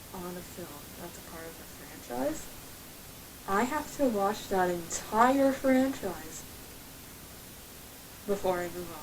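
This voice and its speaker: A woman with an American accent speaks at a very slow pace with long, frequent pauses, very wide pitch swings and big swings in loudness, over noticeable background noise. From Ohio, USA. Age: 20s. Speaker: aspiring voice actor and video maker. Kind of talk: casual talk to camera.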